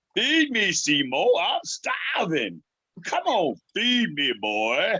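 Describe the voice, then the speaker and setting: Using a put-on character voice, a man speaks with a high pitch. His pace is very slow. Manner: demanding, hungry.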